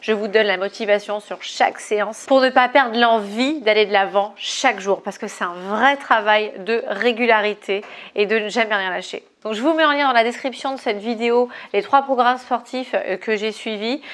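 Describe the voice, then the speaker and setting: The woman's fairly high voice holds fairly even intonation as she moves at a moderate pace. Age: 30s. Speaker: fitness coach. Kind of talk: casual vlog monologue. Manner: hesitant fillers.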